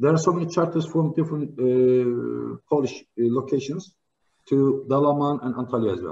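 With a Turkish accent, a man talks at a moderate pace in a fairly high, dark, mellow voice with ordinary pitch variation. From Turkey. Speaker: trade diplomat; speaker. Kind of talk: formal speech. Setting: online live video link. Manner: halting, many fillers. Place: home room. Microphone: video call.

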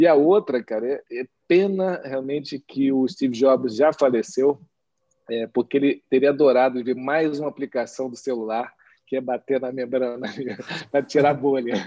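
A man talks in a dark, mellow tone, with a quiet background behind him. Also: ordinary pitch variation, moderate pace. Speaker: nephrologist and session host; panelist. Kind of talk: panel discussion. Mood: friendly, smiling. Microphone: webcam.

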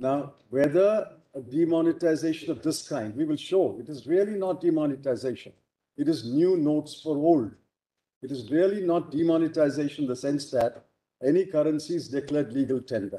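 Here a man speaks with an Indian accent in a dark, mellow tone. His pace is fairly quick, with ordinary pitch variation. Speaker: senior advocate. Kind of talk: courtroom oral argument before judges. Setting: courtroom, Supreme Court hearing. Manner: emphatic, measured. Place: hall. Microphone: podium.

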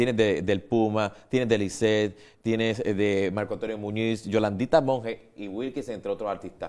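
A man with an ordinary speaking voice and fairly low pitch talks at a moderate pace with fairly even intonation and hardly any pauses. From Puerto Rico. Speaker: TV show host. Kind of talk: TV interview. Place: studio.

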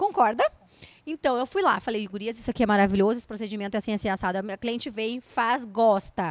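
A high-pitched woman's voice, dry with no echo, against a quiet background. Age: 30s. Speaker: entrepreneur and speaker; speaker. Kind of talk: interview. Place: studio. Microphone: handheld.

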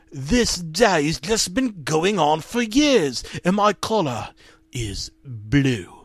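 A man talks at a very slow pace, with noticeable background noise behind him. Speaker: comedic creepypasta narrator. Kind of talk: deadpan creepypasta reading with ironic asides, mock-grave ghost story telling. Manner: mock-serious, dryly undercutting the horror with absurd interjections.

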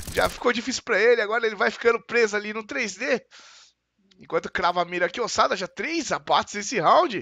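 Against a quiet background, a man speaks in a raised, projected voice, his high pitch carrying a bright, sharp tone and lively intonation. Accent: Brazilian. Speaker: match caster. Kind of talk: live esports play-by-play commentary. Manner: fast, excitable, rapid-fire play-by-play.

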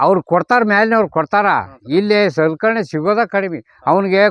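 A man speaks with ordinary pitch variation. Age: 70s. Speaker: retired police officer turned organic farmer. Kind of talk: casual interview during farm walk.

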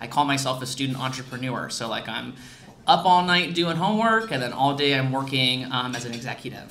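Over light background noise, a man with a Midwestern accent speaks with lively intonation. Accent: general American, Midwestern. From US Midwest. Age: 20s. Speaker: founder of a prosthetics nonprofit, guest speaker. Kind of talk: club presentation. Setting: meeting room with audience, microphone. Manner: loud. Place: hall. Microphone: podium.

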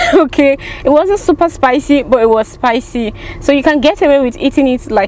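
With light background noise and a dry sound with no echo, a woman speaks at a moderate pace in a high pitch. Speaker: food reviewer vlogger. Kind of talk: casual vlog chat. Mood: amused, chatty. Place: car. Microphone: phone near.

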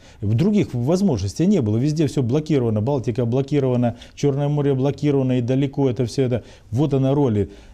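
A very fast, very evenly loud voice with a dark, mellow tone, ordinary pitch variation and a quiet background. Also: man. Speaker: city mayor. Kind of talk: interview answer. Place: office. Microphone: lapel.

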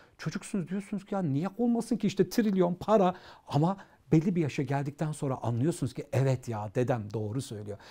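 Against a quiet background, a man speaks in a dark, mellow tone with very wide pitch swings. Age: 40s. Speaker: educator and author; interview guest, educator. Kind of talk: interview. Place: studio. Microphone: lapel.

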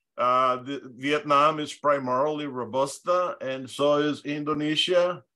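A man's fairly high-pitched voice with a bright, sharp tone, a fairly slow pace, fairly even intonation and hardly any pauses. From Honduras. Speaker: presenter on coffee growing. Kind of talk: online lecture with slides. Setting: video call. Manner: hesitant, frequent fillers.

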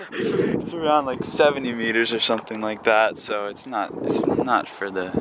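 A man speaks at a moderate pace with ordinary pitch variation, his voice dry with no echo over loud background noise. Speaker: explorer vlogger. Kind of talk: casual vlog chat. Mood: relaxed, impressed. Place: open country. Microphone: phone near.

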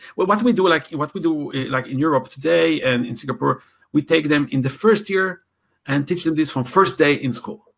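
Vocal fry runs through this voice, with lively intonation. The pace is fairly quick. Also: man. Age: 60s. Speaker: talent development coach. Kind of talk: interview. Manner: halting with many fillers.

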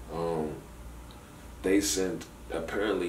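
The speech moves at a very slow pace. There is audible room echo and light background noise. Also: man. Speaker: caller. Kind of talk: casual phone conversation storytelling. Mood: amused, exaggerated storytelling. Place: office.

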